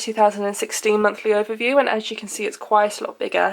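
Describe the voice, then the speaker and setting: A woman with a British accent speaks with a fairly high pitch and fairly even intonation. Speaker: lifestyle blogger. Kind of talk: casual talk to camera.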